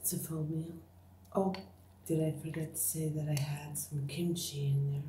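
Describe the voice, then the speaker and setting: A woman's very deep, low voice with fairly even intonation, light background noise and audible room echo. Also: moderate pace. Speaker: ASMR eating creator. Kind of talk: ASMR eating video, casual talk to camera. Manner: whispered, soft-spoken. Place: home room. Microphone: phone near.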